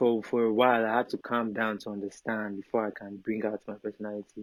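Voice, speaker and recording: Someone with a Nigerian accent speaks at a very fast pace in monotone, flat intonation. The sound is dry and close, with no echo. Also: man, fairly low pitch for a man. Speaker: Afrobeats artist and model. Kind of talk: casual chat.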